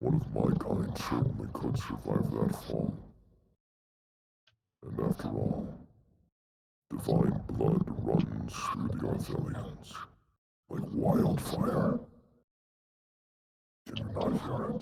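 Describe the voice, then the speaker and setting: A man puts on a character voice at a very slow pace. Long pauses come often. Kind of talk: fantasy NPC acting. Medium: actual play. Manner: archaic, formal, measured.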